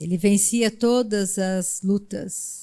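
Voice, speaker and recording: Speaking with fairly even intonation, a woman has a medium-pitched voice. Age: 60s. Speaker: preacher. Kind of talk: sermon.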